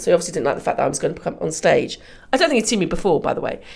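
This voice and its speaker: A woman's fairly high voice with vocal fry and very wide pitch swings. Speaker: comedian and comedy club promoter. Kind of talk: casual chat. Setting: podcast interview.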